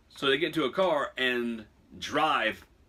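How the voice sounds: The reading voice is natural, and the intonation is lively.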